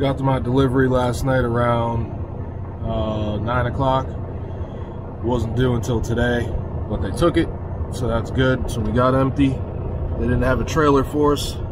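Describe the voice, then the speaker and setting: Amid noticeable background noise, a man speaks with long, frequent pauses in a dry sound with no echo. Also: ordinary pitch variation, moderate pace. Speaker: truck driver vlogger. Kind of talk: casual vlog chat. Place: car. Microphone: phone near.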